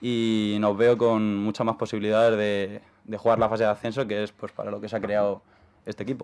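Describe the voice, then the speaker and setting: Intonation is monotone and flat. Words come at a fairly quick pace. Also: man, fairly low pitch for a man. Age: 20s. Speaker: handball player. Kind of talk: radio interview.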